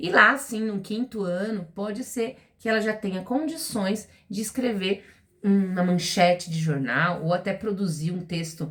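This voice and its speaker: A woman's ordinary speaking voice at medium pitch and a moderate pace. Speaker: literacy teacher. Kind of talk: educational talk to parents.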